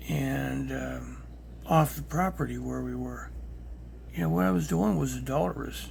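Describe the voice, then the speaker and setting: The voice moves at a moderate pace with long, frequent pauses and ordinary pitch variation, and audible room echo surrounds it. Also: man, very deep, low pitch for a man. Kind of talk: personal testimony. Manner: whispering; halting.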